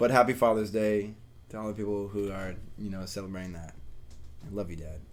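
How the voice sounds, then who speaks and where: Long, frequent pauses break up this man's fairly low, fairly even speech, which swings widely in loudness amid audible room echo. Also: fairly quick pace. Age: 20s. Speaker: podcast co-host. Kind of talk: casual chat.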